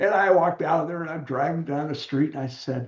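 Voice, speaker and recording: In a General American accent, a man with a fairly high pitch talks with fairly even intonation in a normal speaking voice. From US West Coast, San Diego. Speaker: author and widower support mentor. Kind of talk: interview conversation.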